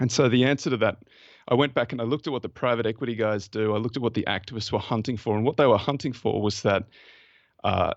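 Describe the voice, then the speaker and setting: With an Australian accent, a man speaks at a very fast pace in a medium pitch and fairly even intonation. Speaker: investment fund manager. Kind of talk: podcast interview.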